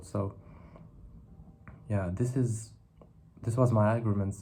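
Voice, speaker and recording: Against audible room echo, a man with a dark, mellow tone speaks somewhat breathily at a medium pitch, with fairly even intonation and a moderate pace. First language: not English. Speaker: philosophy video creator. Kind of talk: monologue reflection to camera. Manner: halting, with self-corrections and fillers.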